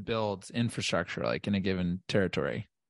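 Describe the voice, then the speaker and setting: A man speaks with a dry, close sound with no echo. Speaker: podcast co-host. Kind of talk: podcast interview. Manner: excitable.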